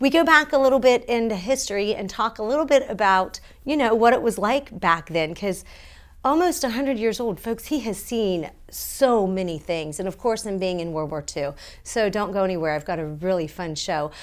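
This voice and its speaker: A woman's medium-pitched voice with very wide pitch swings, on a very clean recording with a silent background. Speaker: TV show host, Army veteran. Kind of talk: interview show introduction. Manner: fast.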